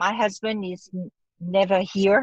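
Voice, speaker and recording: A woman with a strong French accent at a fairly slow pace, in a dry, close sound with no echo. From France. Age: 40s. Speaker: actress. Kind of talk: casual chat.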